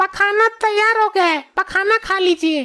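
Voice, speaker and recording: A woman puts on a squeaky, cartoonish character voice at an extremely high pitch. She goes at a fairly slow pace, and the sound is dry and close with no echo. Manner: naive, innocent.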